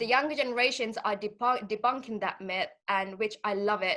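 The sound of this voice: A woman's voice sits at a fairly high pitch and has a bright, sharp tone.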